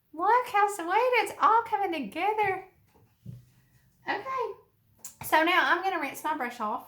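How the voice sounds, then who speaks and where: With a strong Alabama accent, a woman speaks at an extremely high pitch in a bright, sharp, warm tone, her intonation lively and her fairly slow pace marked by long, frequent pauses. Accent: strong Alabama Southern. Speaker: art teacher. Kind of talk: tutorial. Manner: warm, encouraging.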